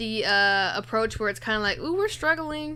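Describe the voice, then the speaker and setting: A woman speaks in a raised, projected voice with a bright, sharp tone, her pitch swinging very widely at a moderate pace. The recording is very clean, with a silent background. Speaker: fantasy basketball stream host. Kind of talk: casual live Q&A chat. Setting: live stream.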